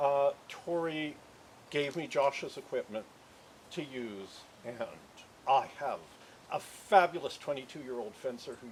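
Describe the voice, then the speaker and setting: There is noticeable background noise. The speech moves at a fairly slow pace. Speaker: memorial speaker. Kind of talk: eulogy. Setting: memorial gathering. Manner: halting.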